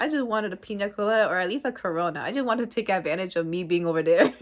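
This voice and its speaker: An animated woman with an American accent speaks at a very fast pace with ordinary pitch variation. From US. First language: Spanish. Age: young. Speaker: travel vlogger. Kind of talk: travel vlog. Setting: resting in a hammock.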